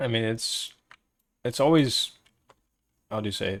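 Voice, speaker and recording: A medium-pitched man with ordinary pitch variation. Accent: slight non-native. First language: Portuguese. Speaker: live streamer. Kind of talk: casual chat.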